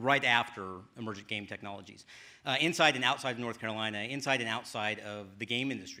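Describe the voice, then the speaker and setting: Against a silent background in a very clean recording, a man talks at a very fast pace in a bright, sharp tone, with a medium pitch and ordinary pitch variation. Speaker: game studio director of development; actor and voice actor. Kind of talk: conference talk.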